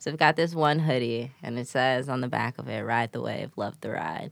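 Very deep and low for a woman, her voice carries vocal fry and ordinary pitch variation. She speaks at a moderate pace in a dry, close sound with no echo. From Chicago east side, US Midwest. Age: 20s. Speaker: former teacher, creative. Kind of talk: casual chat.

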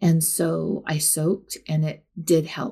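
In a very clean recording with a silent background, a woman speaks in a fairly low, somewhat breathy voice. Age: 50s. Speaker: natural health business founder. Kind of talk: interview.

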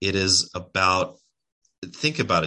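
Very deep, low male pitch with a bright, sharp tone, ordinary pitch variation, and a quiet background. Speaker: spiritual teacher. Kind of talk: casual interview. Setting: live video stream.

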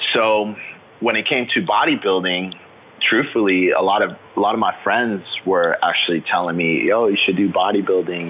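A man with an American accent talks at a moderate pace, noticeable background noise audible behind him. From Florida, US. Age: 20s. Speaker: fitness trainer and bodybuilder, military veteran. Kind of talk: interview.

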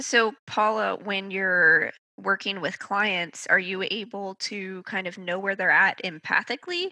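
A woman with a medium pitch uses a normal speaking voice at a fairly slow pace, with fairly even intonation and hardly any pauses. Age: 20s. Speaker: podcast co-host. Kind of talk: casual chat. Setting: video call.

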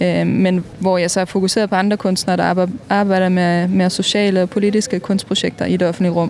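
Over noticeable background noise, a woman talks at a fairly quick pace with hardly any pauses, her medium-pitched voice flat and monotone and her loudness very even. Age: 30s. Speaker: mural painter. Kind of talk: interview.

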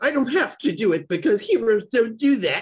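At a moderate pace, the speaker puts on a character voice pitched fairly high. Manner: theatrical, villainous.

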